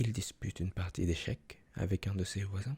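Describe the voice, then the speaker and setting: A soft-spoken, somewhat breathy man whispering at a moderate pace, with a dry, close sound and no echo. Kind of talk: reading a picture book aloud in French. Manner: soft-spoken, whispering.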